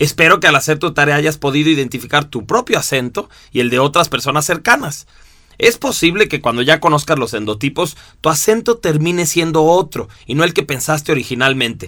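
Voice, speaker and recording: Recorded very cleanly against a silent background, a man speaks at a fairly quick pace in a bright, sharp tone, with lively intonation and a fairly high pitch. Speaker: instructor. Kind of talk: recorded lesson. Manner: expressive.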